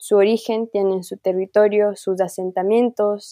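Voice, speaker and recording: A woman speaks at a fairly slow pace with a medium pitch. Her tone is dark and mellow, her intonation monotone and flat. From Ecuador, Amazon region (Kichwa community, Talag). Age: 20s. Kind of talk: casual interview conversation.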